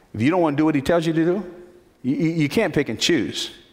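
A man speaks with a fairly high pitch and vocal fry. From New Jersey, Newark. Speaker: pastor. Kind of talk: sermon. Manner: animated.

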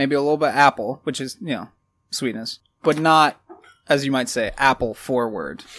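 A man speaks at a moderate pace with a fairly high pitch. He has a plain, everyday voice and ordinary pitch variation. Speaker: guest co-host, whiskey taster. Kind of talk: casual chat, whiskey tasting. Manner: joking, playful.

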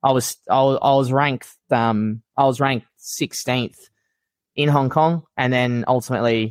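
Heard with dry, close sound and no echo, a man with an Australian accent talks at a medium pitch and fairly slow pace with fairly even intonation. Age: 30s. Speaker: elite fitness racing athlete and coach. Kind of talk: casual chat. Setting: video call.

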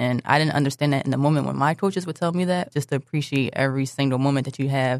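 A woman with a Philadelphia accent speaks at a very fast pace with hardly any pauses, in a very deep, low pitch and fairly even intonation. The sound is dry and close with no echo. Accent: Philadelphia American. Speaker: basketball coach. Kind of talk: interview. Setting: studio.

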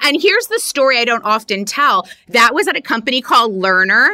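The very clean recording with a silent background captures a woman talking at a fairly quick pace in a bright, sharp tone. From US South, Miami, Florida. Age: 40s. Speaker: cultural consultant and entrepreneur. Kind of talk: interview.

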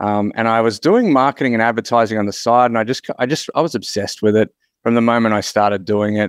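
Heard in a dry, close sound with no echo, a man with an Australian accent speaks at medium pitch and a very fast pace. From Queensland, Australia. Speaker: marketing consultant. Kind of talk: casual interview chat.

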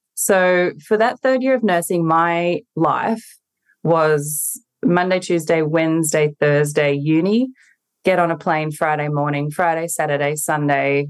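An Australian accent marks this woman's speech, which has a very deep, low pitch, a fairly slow pace and ordinary pitch variation. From regional New South Wales, Australia. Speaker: nurse injector and business coach. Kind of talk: casual interview. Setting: at home, remote call.

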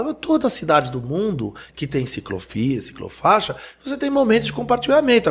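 High-pitched male voice at a fairly quick pace, with very wide pitch swings. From France. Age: 40s. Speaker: urban mobility expert. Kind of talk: panel discussion.

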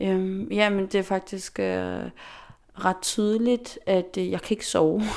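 Speech comes at a very slow pace. The recording is very clean, with a silent background. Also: woman. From Faroe Islands. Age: 20s. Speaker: dancer and dance teacher. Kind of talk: interview. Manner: hesitant, many fillers.

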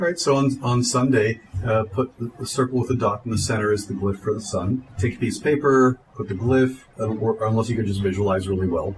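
A man with an American accent talks at a fairly quick pace over noticeable background noise. His pitch is medium, with ordinary pitch variation. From US East Coast, Delaware. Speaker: occult teacher and convention presenter. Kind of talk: interview conversation. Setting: at a convention.

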